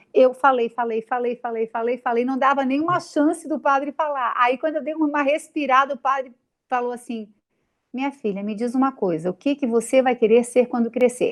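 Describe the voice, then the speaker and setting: In a Santa Catarina accent, a woman speaks at a moderate pace. Her high voice shows ordinary pitch variation. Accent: Santa Catarina (Florianópolis). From Brazil, Florianópolis, Santa Catarina. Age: 40s. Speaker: TV news presenter. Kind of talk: interview.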